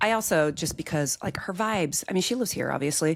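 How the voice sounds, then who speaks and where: A woman with an American accent speaks in an ordinary speaking voice, her fairly low pitch carried by lively intonation. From US Midwest (Iowa). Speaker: agribusiness insurance leader, podcast guest. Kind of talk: casual chat.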